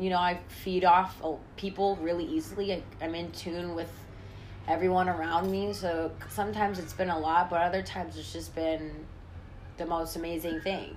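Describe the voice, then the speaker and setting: With an American accent, a woman speaks at a moderate pace and with fairly even intonation in a room with audible echo. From San Francisco Bay Area, US. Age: 20s. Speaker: oil painter. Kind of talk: casual interview. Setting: in person in her studio.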